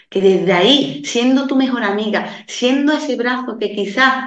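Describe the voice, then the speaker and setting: Audible room echo surrounds this recording. A woman speaks fairly slowly with ordinary pitch variation. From Andalusia, Seville province countryside. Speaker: women's coach and mentor. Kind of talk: interview conversation.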